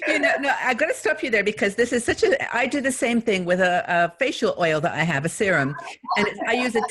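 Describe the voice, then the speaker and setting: Over noticeable background noise, a woman talks at a fairly quick pace in a fairly high voice with very wide pitch swings. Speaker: YouTube host / interviewer. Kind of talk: interview, casual conversation.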